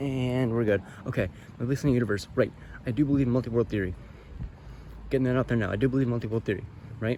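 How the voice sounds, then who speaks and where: A medium-pitched man talks very fast with fairly even intonation and very even loudness, broken by long, frequent pauses. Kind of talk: casual talk to camera while walking. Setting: outdoors. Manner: hesitant, stuttering.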